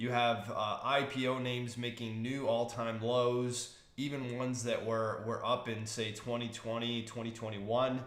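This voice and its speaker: Audible room echo surrounds a man's medium-pitched voice. He speaks at a moderate pace with flat, monotone intonation. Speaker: stock market commentator. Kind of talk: market outlook talk. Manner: casual with fillers.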